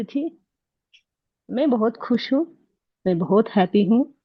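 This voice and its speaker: Her voice is somewhat breathy. This woman uses ordinary pitch variation. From Karnataka, India. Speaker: course participant sharing success story. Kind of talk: testimony.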